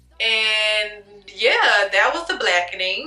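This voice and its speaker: A woman speaks with music in the background. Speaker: YouTuber, movie reviewer. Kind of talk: casual vlog monologue, movie review. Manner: casual, conversational; stutters, self-corrects.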